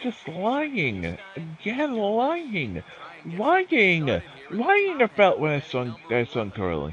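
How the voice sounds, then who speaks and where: A man speaks at a very slow pace, with noticeable background noise behind him. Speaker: streamer playing a baseball game. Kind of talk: casual livestream chat. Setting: video game livestream. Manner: rambling, halting, swears when annoyed.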